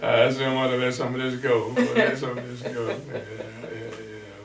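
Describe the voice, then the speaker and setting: Speaking at a fairly slow pace with a Southern US accent, a man talks at a medium pitch over noticeable background noise. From Louisiana, US. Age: 80s+. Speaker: pastor. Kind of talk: interview answer.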